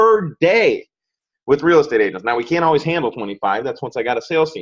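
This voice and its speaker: The recording is dry and close with no echo as a man speaks very fast at a fairly high pitch. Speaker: digital marketing agency owner. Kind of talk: sales pitch.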